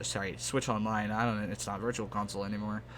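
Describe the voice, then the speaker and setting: A man with an American accent speaks in a plain, everyday voice at a fairly low pitch with fairly even intonation. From Texas. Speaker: gaming YouTuber. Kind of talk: casual gameplay chat. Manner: relaxed, rambling with fillers.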